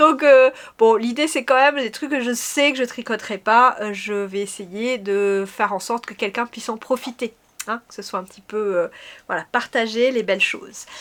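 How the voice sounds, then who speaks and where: A woman talks at a moderate pace in a fairly high voice with ordinary pitch variation. Her loudness swings widely. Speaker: knitting podcaster. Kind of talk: casual chat. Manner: hesitant, many fillers.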